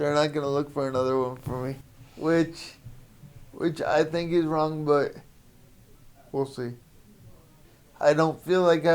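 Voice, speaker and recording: A man speaks with an American accent in a fairly high pitch. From Virginia, USA. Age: 30s. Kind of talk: personal story interview.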